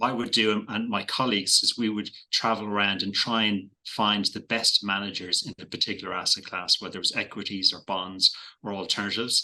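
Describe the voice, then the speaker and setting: A man's fairly low, bright, sharp voice in an Irish accent, with fairly even intonation and a fairly quick pace. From Ireland. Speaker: investment manager. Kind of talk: podcast interview. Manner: hesitant, many fillers and repeated words.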